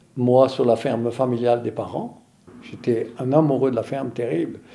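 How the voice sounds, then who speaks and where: With a dark, mellow tone, a man at a medium pitch talks at a moderate pace with ordinary pitch variation. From French Flanders, northern France. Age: 70s. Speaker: farmer. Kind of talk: interview testimony.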